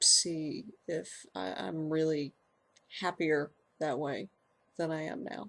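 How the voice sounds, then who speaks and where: A woman talks very slowly in a very deep, low voice, her intonation lively. Long pauses come often. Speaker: transgender video blogger. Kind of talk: casual personal vlog. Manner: halting, many repeated words and fillers.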